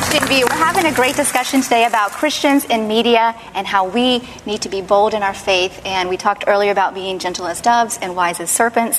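Amid noticeable background noise, a woman with a fairly high pitch talks at a fairly quick pace with hardly any pauses. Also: ordinary pitch variation. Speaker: talk show host. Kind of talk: panel discussion. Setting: studio with audience.

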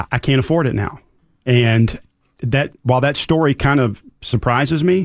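A man's normal speaking voice at medium pitch with fairly even intonation, on a very clean recording with a silent background. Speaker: financial advisor. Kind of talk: casual interview.

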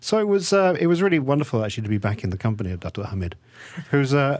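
A man with an English accent talks at a medium pitch with very wide pitch swings in a very clean recording with a silent background. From England. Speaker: author. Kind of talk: interview.

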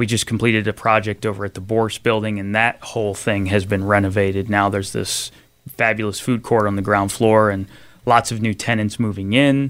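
Over a very clean, silent background, a man with a Philadelphia accent speaks fairly quickly in a fairly low, monotone, flat voice. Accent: Philadelphia-area American. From southern New Jersey (Salem County). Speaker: construction company executive. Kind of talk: interview.

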